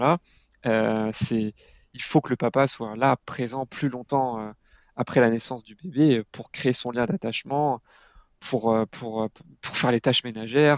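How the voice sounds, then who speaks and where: A man at medium pitch speaks at a fairly slow pace with fairly even intonation, big swings in loudness, and long, frequent pauses. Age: 30s. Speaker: father and parenting blogger. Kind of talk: casual interview. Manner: halting, many repetitions.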